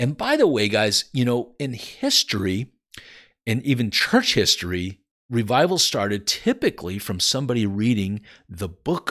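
A man with an American accent speaks in an animated tone at a moderate pace, on a very clean recording with a silent background. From California, Santa Cruz. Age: 50s. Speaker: Bible teacher. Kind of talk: informal Bible teaching.

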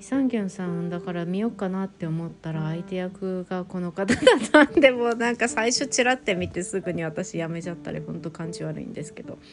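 A woman's medium-pitched voice, lively in intonation and fairly quick with hardly any pauses, big swings in loudness, over noticeable background noise. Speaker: solo podcast host talking about Korean dramas. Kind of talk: casual solo podcast monologue.

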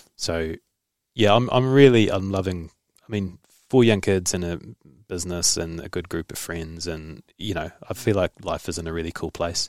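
A man with a New Zealand accent speaks at a moderate pace in a very deep, low pitch, with ordinary pitch variation. The recording is very clean and dry, close with no echo, over a silent background. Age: 30s. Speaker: podcast host and journalist. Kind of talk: casual interview.

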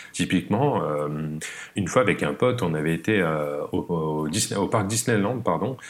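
Lively intonation in a man's very deep, low voice, at a moderate pace. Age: 30s. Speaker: productivity coach. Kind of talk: casual chat.

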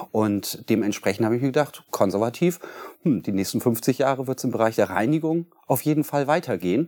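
A man speaks at a fairly quick pace with a medium pitch. His tone is dark and mellow. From Germany, Bremen. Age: 40s. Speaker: cleaning company founder. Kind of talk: interview. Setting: studio.

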